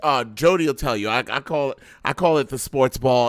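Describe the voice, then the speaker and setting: Speaking in an animated tone with a New York accent, a man with a fairly high pitch comes through dry and close with no echo on a very clean recording against a silent background. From New York, Brooklyn. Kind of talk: casual chat.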